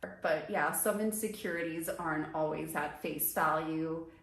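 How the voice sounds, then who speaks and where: With an American accent, a woman speaks at a fairly slow pace in a fairly low pitch with ordinary pitch variation, and audible room echo surrounds her. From US suburbs, Brazilian family. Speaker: lifestyle vlogger. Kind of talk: personal vlog monologue. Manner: casual, conversational.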